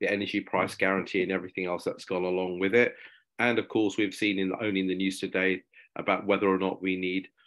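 Over a quiet background, a man talks at a very fast pace with a very deep, low pitch and monotone, flat intonation. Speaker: webinar presenter. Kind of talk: presentation talk. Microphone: video call.

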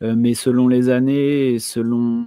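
A man speaks with a dark, mellow tone and fairly even intonation. The sound is dry with no echo over a quiet background. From Brittany, France. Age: 30s. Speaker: homesteading content creator; podcast guest. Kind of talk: casual chat. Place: home room.

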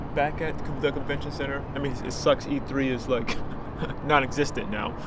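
Loud background noise fills a dry recording with no echo. Over it, a man talks at a fairly quick pace. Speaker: vlogger. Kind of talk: casual vlog chat. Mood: reflective, nostalgic. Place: street. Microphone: phone near.

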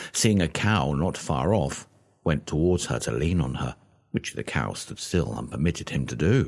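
The voice has vocal fry and lively intonation at a moderate pace. The background is quiet. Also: man. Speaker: audiobook narrator. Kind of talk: audiobook reading of a 19th-century book, scripted narration. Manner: steady, measured, formal storytelling pace.

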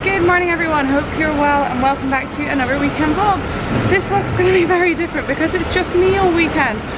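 A woman speaks at a very fast pace through loud background noise. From Scotland. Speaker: family vlogger. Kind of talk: casual talk to camera. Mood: subdued, slightly somber. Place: station. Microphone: phone near.

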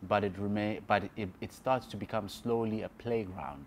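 This man talks at a moderate pace, his fairly low voice showing ordinary pitch variation.

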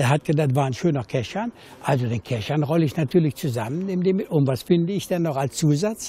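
Speaking at a fairly quick pace, a man uses lively intonation and a fairly high pitch. His tone is dark and mellow, and the sound is dry with no echo. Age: 70s. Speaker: former burglar. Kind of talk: interview answer. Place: garden.

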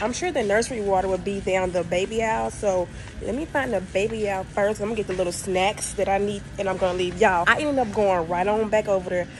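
There is music playing in the background. Over it, a woman talks very fast. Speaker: vlogger. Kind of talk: casual vlog chat. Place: shop. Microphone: phone near.

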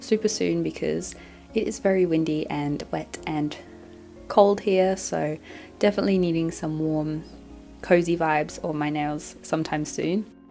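Music plays in the background. The speech moves at a moderate pace with ordinary pitch variation. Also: woman, very deep, low pitch for a woman. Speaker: nail product reviewer. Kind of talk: product review narration.

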